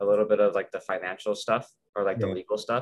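A man with an American accent talks very fast over light background noise. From Las Vegas, Nevada. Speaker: university student. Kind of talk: casual chat. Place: home room. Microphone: webcam.

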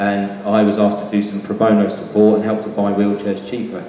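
Amid noticeable background noise and audible room echo, a man speaks in a fairly low voice. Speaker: guest. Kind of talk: presentation talk. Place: hall. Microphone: handheld.

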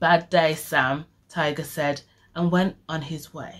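A woman speaks at a very slow pace with a fairly low pitch. The background is quiet. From Birmingham, England. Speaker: poet and illustrator; story reader. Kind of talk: children's story reading. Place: home room. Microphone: phone near.

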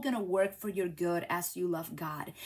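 At a moderate pace, a woman talks with a Spanish accent. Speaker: craft demonstrator and YouTuber; craft demonstrator, YouTuber. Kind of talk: live craft tutorial stream; devotional message. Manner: animated. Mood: warm, encouraging, faith-based. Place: home room.

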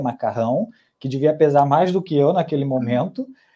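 Over a quiet background, a man with a fairly high pitch and a dark, mellow tone talks at a moderate pace. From Brazil. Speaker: gastronomy student and food podcast researcher; food podcast researcher. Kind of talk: casual interview. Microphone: earbuds.

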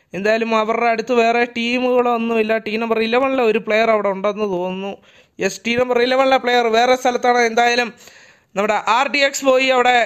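Here a man speaks at an extremely high pitch. His intonation is monotone and flat. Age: 20s. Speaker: gaming streamer and match commentator. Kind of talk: live commentary.

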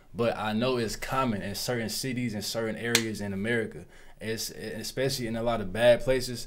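A man moves along at a fairly quick pace while audible room echo fills the space. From Florida, US. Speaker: YouTube reaction host. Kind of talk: casual reaction commentary. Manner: animated.

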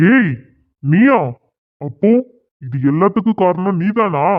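Shouting in a put-on character voice, a man uses a high pitch and lively intonation at a fairly slow pace. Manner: shouting, angry, accusing.

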